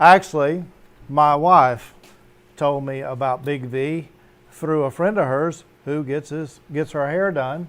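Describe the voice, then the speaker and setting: Very slow speech from a man, fairly high in pitch and with ordinary pitch variation. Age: 60s. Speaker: Navy veteran and home cannabis grower. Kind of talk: casual chat.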